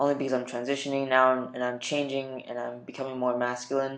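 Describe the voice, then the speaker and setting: A medium-pitched man talking at a fairly quick pace, with audible room echo. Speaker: vlogger documenting gender transition. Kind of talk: personal video diary. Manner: hesitant with many fillers.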